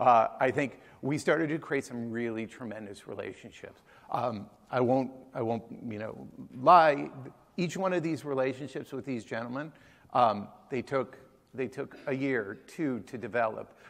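A man speaks at a medium pitch with ordinary pitch variation. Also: moderate pace. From Massachusetts, Boston area (Newton); Massachusetts. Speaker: chef and restaurant co-founder; conference presenter. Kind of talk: conference talk. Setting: stage with audience. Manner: hesitant, many fillers. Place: hall.

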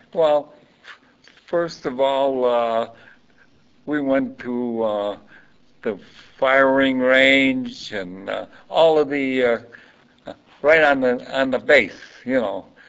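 A man with a Chicago accent talks very slowly, with long, frequent pauses. His pitch varies in an ordinary way. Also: medium pitch for a man. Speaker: Coast Guard veteran. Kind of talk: oral history interview. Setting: library.

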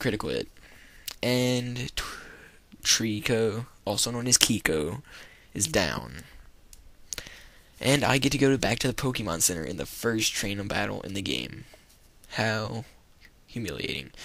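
Pausing long and often, a man speaks at a fairly slow pace in a fairly low pitch with lively intonation. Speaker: let's play gamer. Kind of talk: gameplay commentary.

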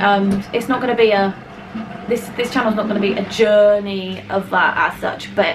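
A woman at a moderate pace with fairly even intonation, music in the background. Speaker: family vlogger. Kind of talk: casual vlog chat. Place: kitchen. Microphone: phone near.

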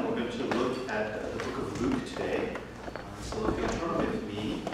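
Loud background noise and audible room echo surround the recording. A man speaks at a fairly slow pace. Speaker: pastor. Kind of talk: sermon. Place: church.

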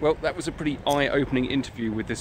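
A man is speaking. The sound is dry with no echo, though background noise is noticeable. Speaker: historian vlogger. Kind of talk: casual vlog chat. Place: street. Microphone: phone near.

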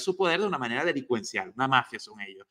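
A man speaks at a very fast pace in a high, bright, sharp, animated tone. The background is quiet. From Venezuela. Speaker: news commentary host. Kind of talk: news commentary. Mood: indignant, angry at government. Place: home room. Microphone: video call.

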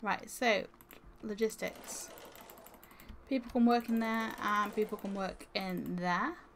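Over noticeable background noise, a woman speaks very slowly with long, frequent pauses. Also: ordinary pitch variation. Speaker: gamer streamer. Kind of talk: live game stream commentary. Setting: live stream, gaming. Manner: casual, thinking aloud.

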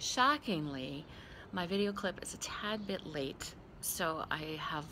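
A woman's very deep, low voice with vocal fry, a bright, sharp tone and ordinary pitch variation, over noticeable background noise. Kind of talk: casual personal video message. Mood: warm, playful. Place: garden. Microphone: phone near.

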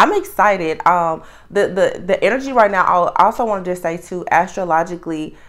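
Against a quiet background, a woman speaks at a fairly quick pace with big swings in loudness. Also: ordinary pitch variation. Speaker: tarot reader. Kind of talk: casual reading intro chat. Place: home room.

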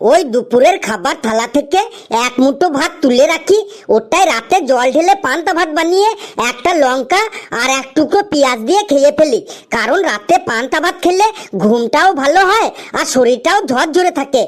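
The voice is a high-pitched, cartoonish character voice. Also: moderate pace. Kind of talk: comic cartoon dialogue. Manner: earnest, self-satisfied reasoning.

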